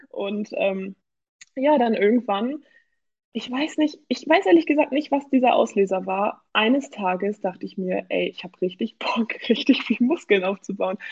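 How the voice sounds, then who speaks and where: Lively intonation and big swings in loudness run through this woman's speech. She has an unremarkable speaking voice and a moderate pace. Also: fairly high pitch for a woman. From Germany, Hamburg. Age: 20s. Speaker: amateur bodybuilder. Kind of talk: casual interview.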